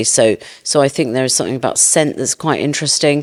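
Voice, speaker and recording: A woman with a British accent. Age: 50s. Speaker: beauty entrepreneur. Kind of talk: interview. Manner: hesitant, with repeated words.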